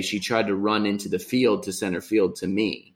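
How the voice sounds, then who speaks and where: Fairly low-pitched male voice at a moderate pace, very clean recording with a silent background. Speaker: podcast co-host. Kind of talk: casual chat. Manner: halting, many fillers.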